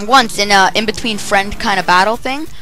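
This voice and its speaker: A woman talks at a fairly quick pace. Music in the background and audible room echo can be heard. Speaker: gaming YouTuber. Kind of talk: game walkthrough commentary.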